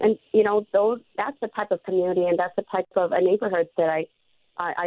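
The woman's voice sits fairly low in pitch, and her intonation stays fairly even. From Hmong refugee camp in Thailand, raised in US. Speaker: congressional candidate and teacher. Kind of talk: interview. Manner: hesitant, many fillers.

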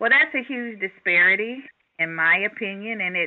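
A woman with an ordinary speaking voice and ordinary pitch variation. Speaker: charter school founder and executive. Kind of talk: interview.

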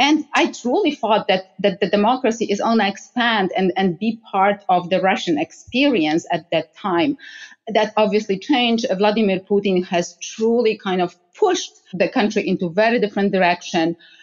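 Speaking with hardly any pauses, a woman keeps going. Her pitch varies in an ordinary way. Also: medium pitch for a woman, moderate pace, very even loudness. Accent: Polish. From Poland. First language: Polish. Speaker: energy security expert. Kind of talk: interview conversation. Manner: hesitant, many fillers.

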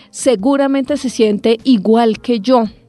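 At a fairly slow pace, a woman speaks. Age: 30s. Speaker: podcast host. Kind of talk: personal monologue podcast.

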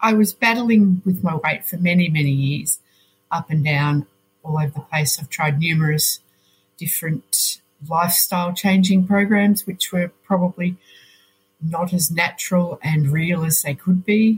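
The voice is somewhat breathy, moving at a moderate pace with ordinary pitch variation in a dry, close sound with no echo. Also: woman, fairly low pitch for a woman. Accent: Australian. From Australia, Melbourne. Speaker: nurse. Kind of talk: interview.

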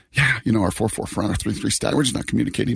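A man is speaking. His voice is somewhat breathy. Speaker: sports radio host. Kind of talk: casual chat. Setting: remote from hotel.

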